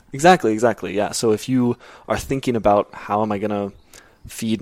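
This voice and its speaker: A man with an American accent and a plain, everyday voice speaks at a medium pitch and a fairly quick pace, with ordinary pitch variation. The recording is very clean and silent in the background, with a dry, close sound with no echo. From US, Arizona. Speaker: CEO of a behavioral economics research firm. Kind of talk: interview. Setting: office.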